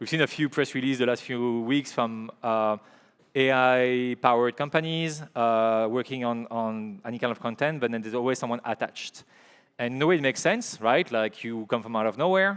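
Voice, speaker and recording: A man with a French accent talks at a fairly quick pace in a medium pitch, with ordinary pitch variation. The recording is very clean and the background silent. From Belgium, Liège. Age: 40s. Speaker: filmmaker and creative director. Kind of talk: conference talk. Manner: halting, many fillers and repeats.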